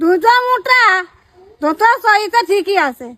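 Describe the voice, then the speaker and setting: A woman uses a put-on character voice with an extremely high pitch. Her intonation is lively. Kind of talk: rustic comic skit. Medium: voice reel.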